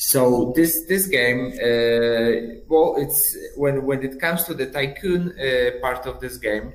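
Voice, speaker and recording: A man speaks at a very slow pace with a Polish accent. His pitch variation is ordinary. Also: medium pitch for a man. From Poland. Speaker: game studio brand manager. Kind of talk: interview. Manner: halting, repetitive.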